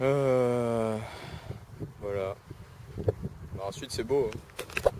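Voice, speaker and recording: A man at medium pitch, very slow, with fairly even intonation and noticeable background noise. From southern France, Istres (Provence). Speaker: vlogger. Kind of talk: casual vlog. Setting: outdoors in a park. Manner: hesitant, many fillers and repetitions.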